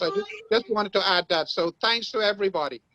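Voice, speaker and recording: A man with a high-pitched voice and ordinary pitch variation, recorded with a dry, close sound and no echo. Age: 70s. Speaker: human rights activist. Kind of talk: online summit comment. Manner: halting.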